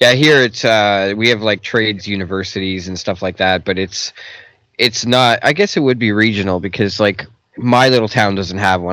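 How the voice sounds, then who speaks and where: An unremarkable speaking voice with a Canadian accent moves at a fairly quick pace with ordinary pitch variation. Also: man. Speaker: podcast host. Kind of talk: casual interview chat. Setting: studio.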